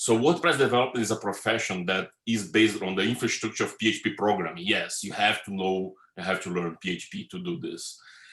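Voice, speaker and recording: A man speaks fairly quickly with a Brazilian Portuguese accent. His pitch is fairly low and his intonation lively. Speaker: web developer and conference speaker. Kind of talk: conference talk. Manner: fast.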